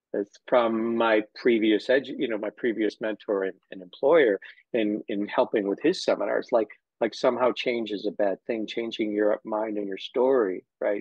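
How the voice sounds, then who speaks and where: A man speaks at a moderate pace in a medium pitch, with fairly even intonation. He has a plain, everyday voice. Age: 60s. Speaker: physical therapist and educator. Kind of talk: casual interview chat.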